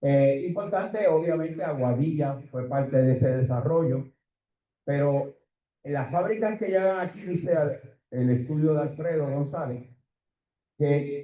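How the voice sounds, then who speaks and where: A somewhat breathy man's voice, fairly high in pitch, with ordinary pitch variation at a moderate pace. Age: 70s. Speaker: economist. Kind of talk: conference presentation.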